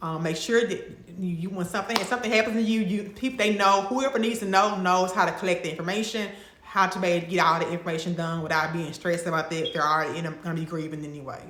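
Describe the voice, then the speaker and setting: A woman with a Mississippi accent talks at a very fast pace with hardly any pauses, at medium pitch with ordinary pitch variation, amid noticeable background noise and audible room echo. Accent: Mississippi Southern. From Mississippi, US South. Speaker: lifestyle and travel vlogger. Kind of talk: casual vlog talk to camera. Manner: conversational, with fillers and restarts.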